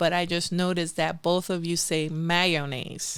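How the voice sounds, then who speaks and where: Her fairly low pitch pairs with a bright, sharp tone as a woman speaks in a Spanish accent. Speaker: podcast host. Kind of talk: casual chat. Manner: halting; animated.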